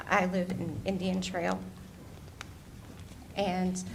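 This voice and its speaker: There is audible room echo around a woman's medium-pitched voice. She sounds shaky, with vocal fry. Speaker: public commenter at county meeting. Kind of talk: public comment testimony. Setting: county board meeting.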